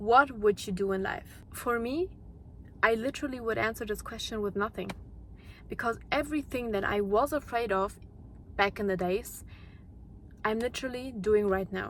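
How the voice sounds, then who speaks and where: The speaker has a non-native accent and talks at a moderate pace with ordinary pitch variation. Long pauses come often. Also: woman, fairly high pitch for a woman. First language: not English. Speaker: YouTuber, mindset content creator. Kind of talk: motivational monologue. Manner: unscripted, with repetitions and restarts.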